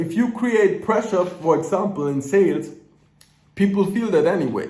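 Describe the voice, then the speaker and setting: A man's high-pitched voice in a German accent at a fairly slow pace, with audible room echo. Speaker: business coach. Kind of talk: casual motivational talk to camera. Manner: unscripted, ranting; stutters at times.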